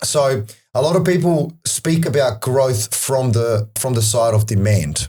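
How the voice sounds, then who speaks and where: At a fairly slow pace, a man with a dark, mellow, somewhat breathy tone speaks at medium pitch with lively intonation and very even loudness. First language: not English. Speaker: property data analyst. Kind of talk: podcast interview.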